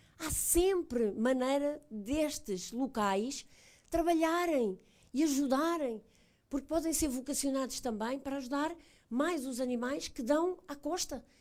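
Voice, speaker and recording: A high-pitched woman's voice with ordinary pitch variation on a very clean recording with a silent background. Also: fairly slow pace. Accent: European Portuguese. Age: 60s. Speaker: animal welfare ombudsman hosting event. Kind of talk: public talk moderating Q&A, bilingual.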